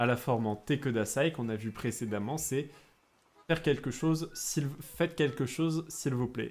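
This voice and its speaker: With music playing in the background, a man speaks at a medium pitch. He has a slight southern French accent. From France, Bordeaux. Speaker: Japanese teacher, streamer. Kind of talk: live-stream lesson. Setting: live stream. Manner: hesitant, many fillers.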